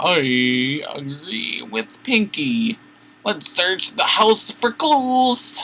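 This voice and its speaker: A man's put-on character voice at a high pitch, very slow, with very wide pitch swings. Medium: read story.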